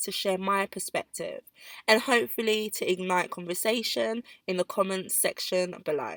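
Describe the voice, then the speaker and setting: A woman speaks at a moderate pace with a bright, sharp tone and ordinary pitch variation. The recording is very clean and dry, close with no echo, over a silent background. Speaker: podcast host. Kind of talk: solo podcast monologue.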